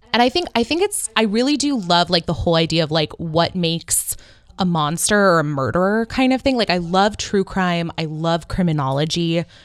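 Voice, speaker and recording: A woman with a West Coast American accent talks at a moderate pace in a fairly low pitch, her loudness very even. Her tone is animated and her intonation lively. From Northern California. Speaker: podcast host. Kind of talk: casual chat.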